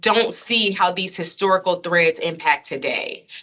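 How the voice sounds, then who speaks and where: Moving at a fairly quick pace, a woman with a plain, everyday voice speaks at medium pitch with ordinary pitch variation. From Chicago, US Midwest. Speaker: educator and researcher. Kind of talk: lecture Q&A.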